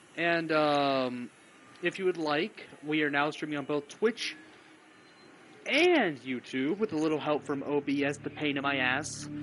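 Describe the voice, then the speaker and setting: At a fairly slow pace, a man speaks in a normal speaking voice, fairly high in pitch, with ordinary pitch variation. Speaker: video game streamer. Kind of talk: live gameplay stream commentary.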